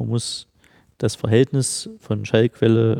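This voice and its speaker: A man's dark, mellow tone comes through with fairly even intonation and a dry, close sound with no echo. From Halle, central Germany. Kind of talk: casual interview. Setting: large unfinished studio hall.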